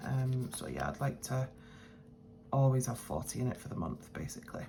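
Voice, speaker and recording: A woman with a British accent speaks quietly and mumbles at a very deep, low pitch. Her pace is fairly quick, with noticeable background noise. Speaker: budgeting vlogger. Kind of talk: casual vlog talk. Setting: at home, early morning. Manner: quiet, mumbling; hesitant, many fillers.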